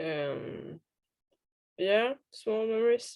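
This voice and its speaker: A woman speaks with a Swedish accent in a dark, mellow tone. Her pace is very slow. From Sweden. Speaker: interview guest. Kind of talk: casual interview. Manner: halting.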